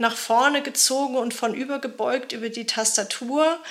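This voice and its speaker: A woman talks at a moderate pace with fairly even intonation and a high pitch. Noticeable background noise runs beneath her voice. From Germany. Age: 40s. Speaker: journalist and author. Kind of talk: interview. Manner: hesitant, many fillers.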